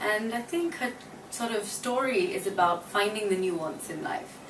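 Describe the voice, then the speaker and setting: At a moderate pace, a woman talks at a medium pitch. Noticeable background noise and audible room echo are present. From Australia. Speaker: actress. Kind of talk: interview. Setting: her apartment.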